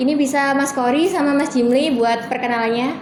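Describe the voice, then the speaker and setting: Through noticeable background noise and audible room echo, a woman speaks at a very fast pace with a high pitch and fairly even intonation. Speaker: student podcast host. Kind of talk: casual podcast chat.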